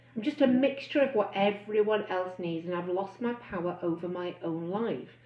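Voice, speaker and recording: Noticeable background noise surrounds a woman speaking at a moderate pace with lively intonation. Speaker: bariatric weight-loss coach. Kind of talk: live stream talk. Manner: loud and excitable.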